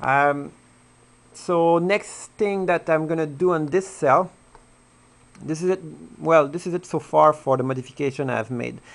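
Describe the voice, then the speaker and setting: Speaking with a French accent, a man has a fairly high pitch and ordinary pitch variation. His pace is fairly slow, broken by long, frequent pauses. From France. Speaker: hobbyist video blogger. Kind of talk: tutorial. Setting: home dining room. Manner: halting. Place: home room. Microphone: camera far.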